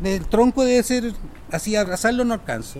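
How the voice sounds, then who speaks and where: Speaking at a moderate pace, a man talks with a Chilean accent. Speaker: interviewee recalling school days. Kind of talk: casual anecdote.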